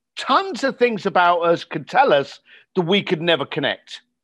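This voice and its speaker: A man speaks with a southern English accent, high in pitch and with very wide pitch swings. His pace is moderate, and the background is quiet. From England, outside London. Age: 50s. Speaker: entrepreneur and coach. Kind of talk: interview.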